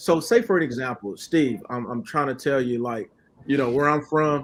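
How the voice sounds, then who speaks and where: Here is a man with an unremarkable speaking voice and an American accent. His pitch is fairly high and his intonation lively. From Oklahoma City. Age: 30s. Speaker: credit repair specialist. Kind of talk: podcast interview. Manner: casual, repetitive.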